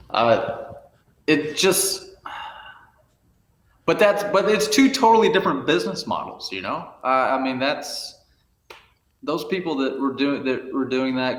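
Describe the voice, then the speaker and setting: A man with a Southern US accent, vocal fry, very wide pitch swings and a fairly slow pace, in audible room echo. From rural Arkansas. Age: 40s. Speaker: photographer. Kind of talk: podcast interview.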